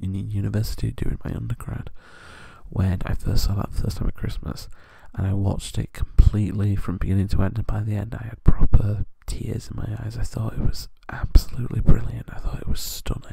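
A soft-spoken man whispering in a British accent, with big swings in loudness, a dry sound with no echo, and a quiet background. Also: fairly quick pace. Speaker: ASMR creator. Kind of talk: ASMR soft-spoken chat. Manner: soft-spoken whisper.

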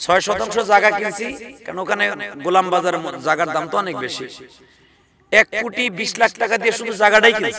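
With noticeable background noise around him, a man uses a raised, projected voice at a high pitch, animated in tone. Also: ordinary pitch variation. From Bangladesh. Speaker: Islamic preacher. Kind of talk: sermon. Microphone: podium.

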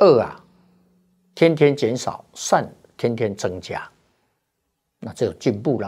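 Against a quiet background, a man with a dark, mellow tone talks at a very slow pace with long, frequent pauses, big swings in loudness and lively intonation. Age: 70s. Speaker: Buddhist monk; Buddhist monk teacher. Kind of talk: dharma talk. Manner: frequent filler particles. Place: studio. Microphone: lapel.

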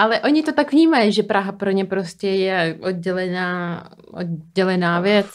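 A woman with a non-native accent, medium pitch and lively intonation at a fairly slow pace, over a quiet background. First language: not Czech (speaking Czech). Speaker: podcast host. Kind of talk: interview. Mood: curious, light and friendly. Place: studio. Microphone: studio mic.

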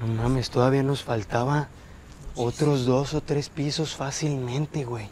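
Recorded dry with no echo and light background noise, a man speaks at a fairly slow pace with fairly even intonation. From Mexico. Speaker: paranormal explorer youtuber. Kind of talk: on-location exploration vlog.

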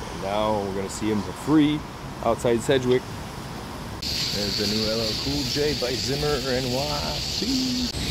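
The pace is very slow, and the sound is dry with no echo. Loud background noise runs throughout. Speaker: tour guide vlogger. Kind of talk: casual walking-tour commentary, loose and improvised. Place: street. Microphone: phone near.

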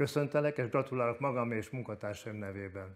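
A man talks at a fairly quick pace. His pitch varies in an ordinary way against a quiet background. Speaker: sports TV presenter. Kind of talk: interview. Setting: studio. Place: studio. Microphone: lapel.

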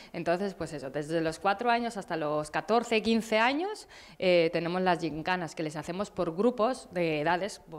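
A woman speaks at a fairly slow pace in a fairly low pitch, with ordinary pitch variation. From Basque Country, Abadiño (Biscay). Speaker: cycling coach and event organizer. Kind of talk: interview. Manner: halting. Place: studio. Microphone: handheld.

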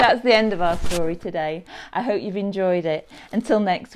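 The pitch moves in an ordinary way. Someone reads aloud in a natural voice.

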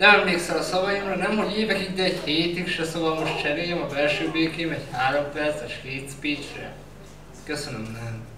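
There is noticeable background noise and audible room echo as a man talks at a fairly quick pace with ordinary pitch variation. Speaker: slam poet. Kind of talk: slam poetry performance. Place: stage.

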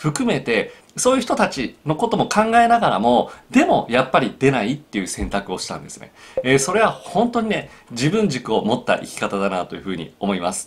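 Marked by vocal fry, the voice has very wide pitch swings and big swings in loudness. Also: man. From Japan. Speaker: psychological counselor. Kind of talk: solo video talk. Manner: frequent filler hesitations. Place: home room.

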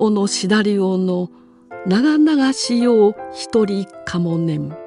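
A woman's calm, gentle tone at a medium pitch, with lively intonation and a very slow pace, over music in the background. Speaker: former TV announcer. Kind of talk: classical poetry reading.

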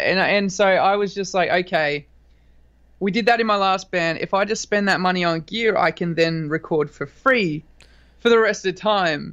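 With an Australian accent, a man speaks at a high pitch. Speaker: rock band singer and guitarist. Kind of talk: interview. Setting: video call.

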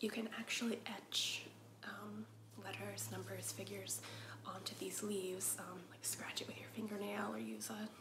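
Whispering in a soft-spoken way at a moderate pace, a woman is heard over noticeable background noise. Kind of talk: casual vlog chat. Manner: soft ASMR whisper. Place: home room. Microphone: camera far.

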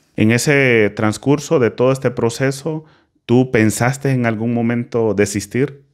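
A man's fairly slow speech, very even in loudness and fairly even in intonation, over a quiet background. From Honduras. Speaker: podcast host. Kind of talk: casual interview. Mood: calm, warm. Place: studio. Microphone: studio mic.

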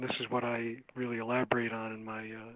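There is a man with an American accent and a medium pitch. He speaks at a fairly quick pace in a monotone, flat intonation. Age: 60s. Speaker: psychologist and author. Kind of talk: interview. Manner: halting, many fillers.

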